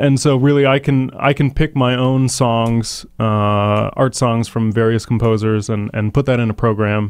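Fairly even in intonation, a man talks at a fairly slow pace, with a dry sound with no echo. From Canada. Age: 20s. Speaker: opera singer. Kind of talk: radio interview answer. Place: studio. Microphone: studio mic.

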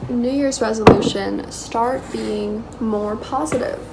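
A woman at a fairly slow pace, with loud background noise. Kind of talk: casual vlog chat. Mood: light-hearted, self-joking. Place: kitchen. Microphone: phone near.

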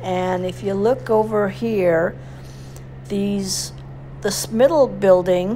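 Music playing behind a woman speaking very slowly. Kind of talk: casual ride narration. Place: motorbike. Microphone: helmet.

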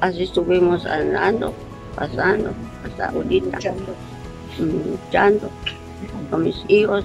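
A woman's voice with long, frequent pauses and clear music in the background. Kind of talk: interview answer. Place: garden. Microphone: phone near.

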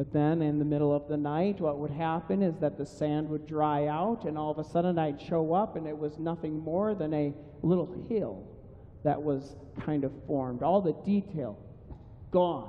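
This man talks at a moderate pace. Light background noise sits behind him. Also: ordinary pitch variation. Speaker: pastor. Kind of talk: sermon. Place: church.

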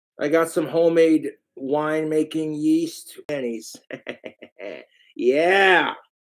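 A man's voice with fairly even intonation over a quiet background. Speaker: livestreamer. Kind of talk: casual livestream rant. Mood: angry, ranting about trolls. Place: home room. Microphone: webcam.

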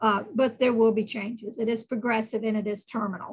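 Over a quiet background, a woman talks at a fairly quick pace, somewhat breathy, her fairly high pitch kept monotone and flat. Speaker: nurse practitioner giving a talk. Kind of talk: lecture. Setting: online video meeting. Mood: warm, practical, earnest. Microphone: webcam.

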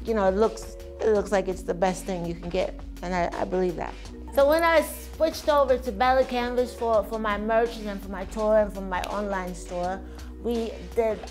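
Music plays in the background while a woman speaks at a moderate pace. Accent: American. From United States. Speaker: singer-songwriter. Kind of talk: interview answer.

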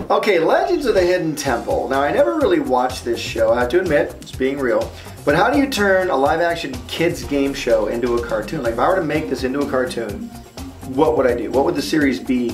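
A man at a fairly quick pace, clear music in the background. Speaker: cartoonist host. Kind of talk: casual vlog chat.

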